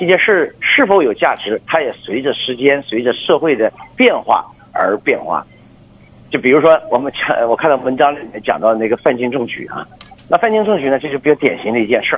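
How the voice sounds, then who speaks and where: Through noticeable background noise, a man speaks at a fairly quick pace with a fairly high pitch and lively intonation. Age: 50s. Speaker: business executive. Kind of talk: radio interview. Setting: phone call.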